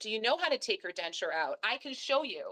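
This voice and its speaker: A woman speaks loudly in an animated tone. The sound is dry and close, with no echo. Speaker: dentist. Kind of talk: interview. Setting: live stream.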